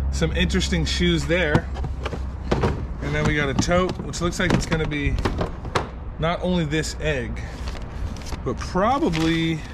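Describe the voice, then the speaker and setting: Fairly slow speech over loud background noise. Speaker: storage unit reseller. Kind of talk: casual vlog commentary. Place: street. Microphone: phone near.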